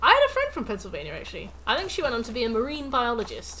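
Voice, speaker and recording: Noticeable background noise fills the recording. A woman speaks fairly quickly over it. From England, Nottingham. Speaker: gaming streamer. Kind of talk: casual chat. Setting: live stream.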